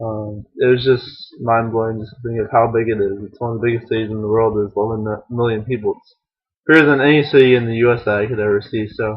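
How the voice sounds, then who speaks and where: A man with an American accent, medium pitch, monotone, flat intonation, a very fast pace and big swings in loudness. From US Midwest (Ohio). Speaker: vlogger, exchange student. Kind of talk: video blog. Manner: hesitant, many fillers.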